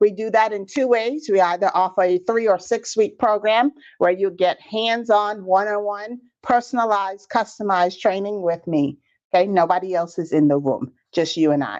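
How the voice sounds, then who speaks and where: A woman with a Bahamian accent talks at a moderate pace, her medium pitch showing ordinary variation against a quiet background. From Bahamas. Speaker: business trainer. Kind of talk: live webinar training. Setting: livestream on social media. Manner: animated.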